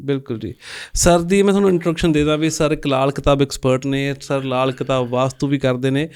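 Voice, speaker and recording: With a Punjabi accent, a man speaks at a moderate pace, his fairly high pitch varying in an ordinary way. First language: Punjabi (speaking Hindi). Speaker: podcast host. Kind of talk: interview.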